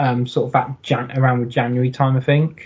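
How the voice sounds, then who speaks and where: A man speaks with a fairly high pitch in a monotone, flat intonation. His voice is somewhat breathy. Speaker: football podcaster. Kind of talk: casual chat.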